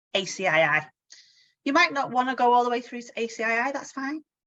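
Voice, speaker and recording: With a Manchester accent, a woman speaks in a high voice. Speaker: insurance training coach. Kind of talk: webinar presentation. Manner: casual, many fillers.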